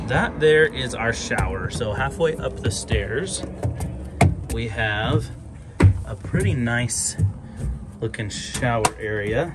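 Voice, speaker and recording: The speech comes at a very slow pace with long, frequent pauses. Loud music plays in the background. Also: man. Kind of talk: casual vlog tour. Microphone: phone near.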